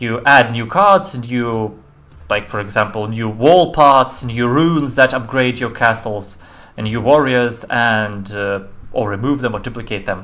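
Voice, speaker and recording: A man speaks at a fairly slow pace. His tone is bright and sharp, with ordinary pitch variation. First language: not English. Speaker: indie game developer; game streamer. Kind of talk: live-stream game demo commentary. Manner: halting, many fillers and restarts.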